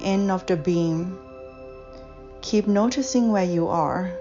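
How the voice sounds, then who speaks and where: Music plays in the background as a woman talks in a calm tone at a fairly slow pace. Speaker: guided meditation / visualization guide. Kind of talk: guided meditation. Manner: slow, calm, soft-spoken with long pauses.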